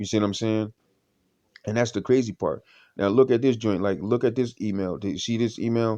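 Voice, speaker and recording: Dark, mellow male voice at a fairly quick pace with fairly even intonation, quiet background. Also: medium pitch for a man. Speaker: vlogger. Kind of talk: casual monologue vlog. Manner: halting, frequent stammering and repetitions; shaky.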